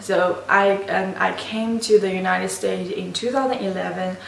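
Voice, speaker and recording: In an Asian accent, a woman speaks at a fairly slow pace, with noticeable background noise and audible room echo. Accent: non-native English, Asian. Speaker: university student. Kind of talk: class presentation. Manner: halting, many restarts.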